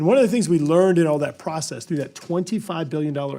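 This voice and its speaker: In an American accent, a man with a fairly high pitch and a dark, mellow tone talks very fast with ordinary pitch variation, on a very clean recording with a silent background. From Louisiana. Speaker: congressman. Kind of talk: congressional hearing statement. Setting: committee hearing room. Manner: halting, many fillers and repetitions.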